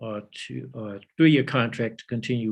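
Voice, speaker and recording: A man is speaking. He has an American accent. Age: 70s. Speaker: political activist and university engineering lecturer. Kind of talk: interview. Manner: halting, many repetitions.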